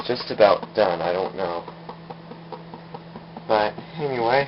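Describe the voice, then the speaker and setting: Mumbling at a fairly slow pace with long, frequent pauses, a man with a fairly low pitch and lively intonation is heard over noticeable background noise. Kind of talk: casual home demo talk to camera. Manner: a little mumbling.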